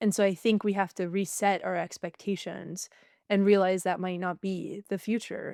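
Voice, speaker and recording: In a very clean recording with a silent background and a dry, close sound with no echo, a woman with an American accent talks in an unremarkable speaking voice at medium pitch. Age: 20s. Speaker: author and economics commentator. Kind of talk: interview. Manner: casual with many fillers.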